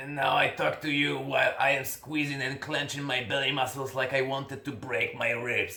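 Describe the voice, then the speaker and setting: Using a put-on character voice, a man sounds strained as he speaks at a moderate pace in a medium pitch, his intonation monotone and flat, with light background noise. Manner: strained, tight.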